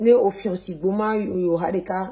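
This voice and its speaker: A woman's somewhat breathy, medium-pitched voice with a dark, mellow tone. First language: Mina (speaking French). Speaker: cooking vlogger. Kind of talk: cooking tutorial. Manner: casual, hesitant with fillers.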